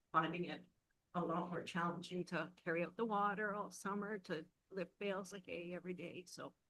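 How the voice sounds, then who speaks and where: A woman with a fairly low pitch and a bright, sharp tone talks at a fairly quick pace in monotone, flat intonation. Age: 60s. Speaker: resident delegation, animal keeper. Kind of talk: public delegation testimony.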